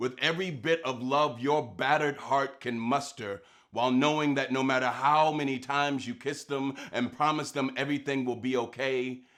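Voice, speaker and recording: Fairly high pitch for a man, an unremarkable speaking voice, and a moderate pace. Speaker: spoken word poet. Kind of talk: spoken word poem performance.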